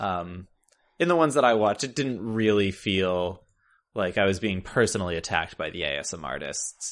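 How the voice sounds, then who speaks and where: A plain, everyday voice from a man with fairly low pitch and lively intonation, at a moderate pace over a quiet background. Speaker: podcast host.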